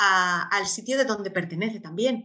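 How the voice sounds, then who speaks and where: A woman talks at a fairly slow pace with ordinary pitch variation in a normal speaking voice. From Spain. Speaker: expat mother and traveller. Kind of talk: interview.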